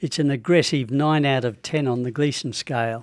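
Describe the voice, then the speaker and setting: In an Australian accent, a man talks at a moderate pace with a medium pitch and ordinary pitch variation. The recording is very clean, with a silent background. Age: 80s+. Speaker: prostate cancer patient. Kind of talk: radio interview.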